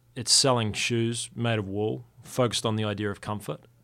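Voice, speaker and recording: A man speaks with a New Zealand accent. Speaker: company founder. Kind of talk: interview. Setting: studio. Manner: laid-back.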